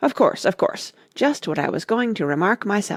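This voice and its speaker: A man puts on a character voice at a high pitch, hoarse and raspy. He keeps a moderate pace. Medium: read story.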